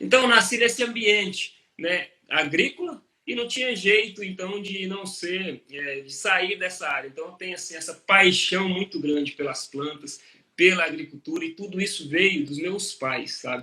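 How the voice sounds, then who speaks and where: A man projects a raised, high-pitched voice with lively intonation. His loudness swings widely. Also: moderate pace. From Brazil, interior of Minas Gerais. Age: 40s. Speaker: agronomist and professor. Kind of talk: interview on a live stream. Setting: live stream. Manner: conversational, with hesitations and fillers.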